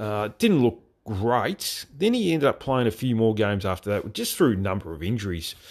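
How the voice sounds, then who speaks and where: With an Australian accent, a man speaks at a moderate pace using lively intonation. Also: medium pitch for a man. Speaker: football podcast host. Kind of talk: solo podcast commentary. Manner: hesitant, many fillers.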